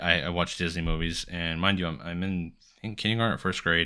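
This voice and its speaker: A man speaks at a fairly quick pace with a very deep, low pitch, a bright, sharp tone and fairly even intonation. The recording is very clean, with a silent background. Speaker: podcast host. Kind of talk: casual solo podcast monologue. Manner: fast talker.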